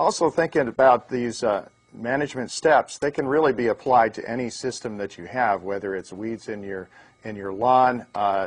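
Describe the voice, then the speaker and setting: Big swings in loudness mark this moderately paced speech, which has ordinary pitch variation over a quiet background. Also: man. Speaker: presenter. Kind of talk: lecture. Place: studio. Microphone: lapel.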